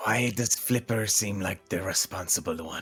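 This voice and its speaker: Over faint background music, a man does a raspy, put-on character voice at a fairly low pitch and moderate pace. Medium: actual play. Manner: snide, dry.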